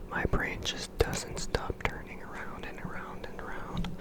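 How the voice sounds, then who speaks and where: A whisper at a fairly slow pace. Noticeable background noise sits behind it. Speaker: ASMR creator. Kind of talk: ASMR sleep rambling. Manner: whispered, soft-spoken.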